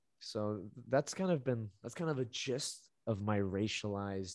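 A man with a Canadian accent and a normal speaking voice, fairly slow yet with hardly any pauses, and ordinary pitch variation. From Canada, born in Colombia. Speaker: podcast host. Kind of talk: casual chat.

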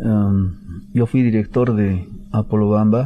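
This man's voice sits at a fairly low pitch. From Bolivia, Tupiza, Potosí. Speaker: government official, protected areas director. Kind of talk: radio interview. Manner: halting, many fillers.

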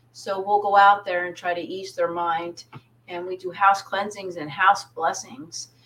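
A normal speaking voice with an American accent. The pace is fairly slow. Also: woman. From US, southern New Jersey (Pine Barrens). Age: 50s. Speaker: psychic medium. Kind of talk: casual interview chat.

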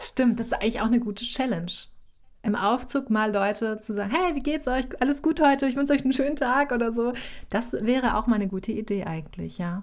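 Pitched high, a woman speaks at a very fast pace. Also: ordinary pitch variation. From North Sea coast, northern Germany. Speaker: visibility coach. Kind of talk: interview.

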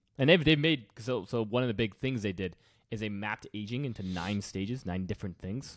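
A man with an ordinary speaking voice talks at a fairly quick pace and fairly low pitch, with ordinary pitch variation. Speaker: podcast host. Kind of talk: casual chat.

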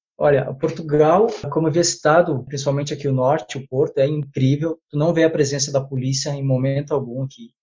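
Somewhat breathy delivery at a fairly quick pace. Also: man, fairly high pitch for a man. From Brazil. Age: 30s. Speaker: physical education teacher. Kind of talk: interview. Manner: halting.

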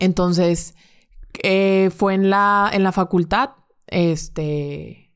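Speech comes at a very slow pace with fairly even intonation, on a very clean recording with a silent background. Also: woman, medium pitch for a woman. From Monterrey, northern Mexico. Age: 20s. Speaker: bank currency trader. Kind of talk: casual interview chat.

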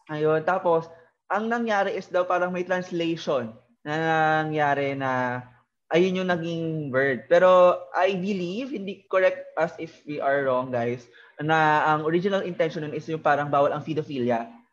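A man with a normal speaking voice talks at a moderate pace and a fairly high pitch, with ordinary pitch variation. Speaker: podcast host and TikToker. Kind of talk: casual chat.

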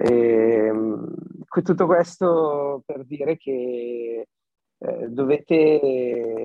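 A man at a very slow pace, with long, frequent pauses and ordinary pitch variation. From Milan area, northern Italy. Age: 20s. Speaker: singer-songwriter. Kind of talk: casual interview. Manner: halting, repeating words.

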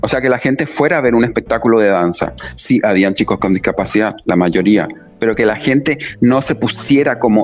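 Music plays in the background as a man speaks. His pitch is medium and his intonation is lively. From Chile. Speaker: dancer and choreographer. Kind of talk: interview. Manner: hesitant, many fillers.

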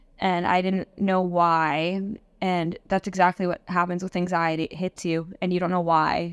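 A woman speaks at a moderate pace, her pitch in the middle of the female range and her intonation flat and monotone. The recording is very clean with a silent background, and the sound is dry and close with no echo. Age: 20s. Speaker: author and influencer. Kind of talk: interview. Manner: casual, heavy use of filler like.

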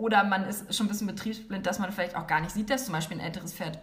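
A woman's medium-pitched voice amid audible room echo and noticeable background noise. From northern Germany, near Hanover. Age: 30s. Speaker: equine therapist. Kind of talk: interview.

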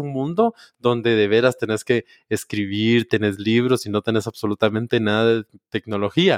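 A man talks at a moderate pace with medium pitch. It is an unremarkable speaking voice, with a dry, close sound and no echo. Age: 20s. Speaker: podcast host. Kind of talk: casual chat.

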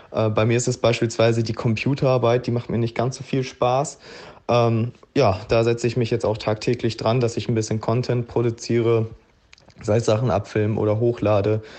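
Monotone, flat intonation runs through this man's dark, mellow tone at a medium pitch. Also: moderate pace. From Ruhr area, Germany. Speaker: health coach and author. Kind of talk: voice message monologue. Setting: WhatsApp voice message.

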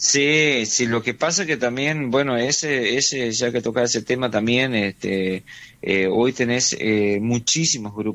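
At a fairly slow pace, a man talks at a medium pitch with ordinary pitch variation and very even loudness. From Argentina, Chaco. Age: 40s. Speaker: musician and teacher. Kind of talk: interview. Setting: phone call. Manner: hesitant, many fillers.

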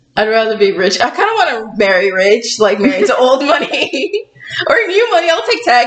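Against noticeable background noise, a woman speaks at a high pitch with very wide pitch swings and very even loudness. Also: moderate pace. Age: 20s. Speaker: podcast host. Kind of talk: casual chat. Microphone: poor sound quality.

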